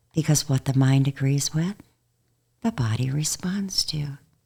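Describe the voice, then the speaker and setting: A woman speaks with a very deep, low pitch. Her tone is dark, mellow, and calm. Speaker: hypnotherapist. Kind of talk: guided hypnosis demonstration; interview. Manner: slow, calm.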